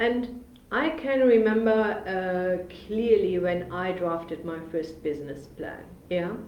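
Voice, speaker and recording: Noticeable background noise and audible room echo accompany a very slow pace of speech. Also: woman. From Germany, Bremen. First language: German. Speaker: business funding consultant. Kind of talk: live webinar presentation. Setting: livestream video on social media. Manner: hesitant, many fillers.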